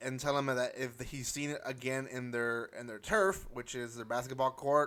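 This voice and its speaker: Medium in pitch, this man's voice has a bright, sharp tone. His intonation stays fairly even. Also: moderate pace. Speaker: anime reviewer YouTuber. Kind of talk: casual video review. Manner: halting with many fillers.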